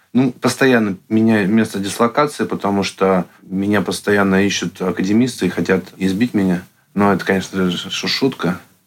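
In an ordinary speaking voice, a man talks at a moderate pace with a fairly low pitch, fairly even intonation and very even loudness. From Russia, Yekaterinburg. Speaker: artist and meme channel creator. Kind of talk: casual interview.

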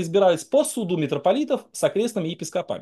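Over a quiet background, a man with a high pitch and a dark, mellow tone races along at a very fast pace, his pitch swinging very widely. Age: 40s. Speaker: Baptist pastor. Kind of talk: debate.

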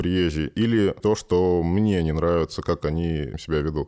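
The voice has a dark, mellow tone and fairly even intonation, moving at a moderate pace with a Moscow accent. It is a very clean recording with a silent background. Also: man. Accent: Moscow Russian. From Moscow, Russia. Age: 30s. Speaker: sculptor. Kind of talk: casual chat.

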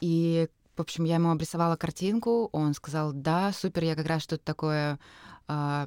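In an unremarkable speaking voice, a woman talks at a moderate pace and a fairly low pitch with ordinary pitch variation, the sound dry and close with no echo and the recording very clean with a silent background. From Russia, Kurgan. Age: 30s. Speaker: poetry event organizer. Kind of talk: interview.

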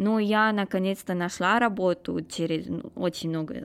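This is a woman's voice. It has ordinary pitch variation. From Romania. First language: Romanian (speaking Russian). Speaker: postgraduate student. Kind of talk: interview. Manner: halting.

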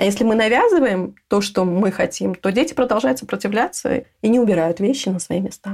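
Speech comes at a fairly quick pace with hardly any pauses and lively intonation. It is an ordinary speaking voice. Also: woman, medium pitch for a woman. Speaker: home organizer. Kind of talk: interview.

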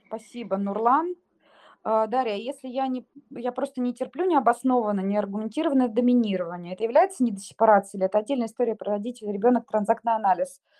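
Recorded with a dry, close sound and no echo, a woman speaks at a fairly quick pace in a fairly high pitch with ordinary pitch variation. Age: 30s. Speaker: psychotherapist. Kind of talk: expert Q&A in live audio chat.

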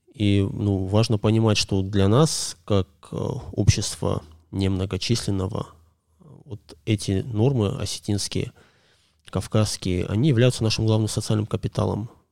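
On a very clean recording with a silent background, a man speaks fairly slowly with long, frequent pauses. His voice is fairly low and dark and mellow in tone, with fairly even intonation. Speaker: podcast guest, commentator. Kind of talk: casual conversation.

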